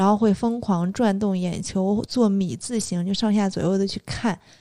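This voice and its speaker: This woman has a dark, mellow tone and speaks at a moderate pace. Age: young. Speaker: podcast co-host. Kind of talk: casual chat.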